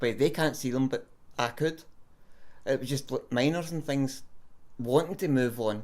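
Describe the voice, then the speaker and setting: A man with a Scottish accent speaks at a moderate pace in a fairly high pitch, with ordinary pitch variation and long, frequent pauses. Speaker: self-described psychic medium. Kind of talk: interview answer.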